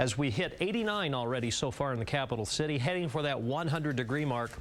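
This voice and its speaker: A man's fairly high voice at a very fast pace, with lively intonation and noticeable background noise. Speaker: TV weather forecaster. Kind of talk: TV weathercast.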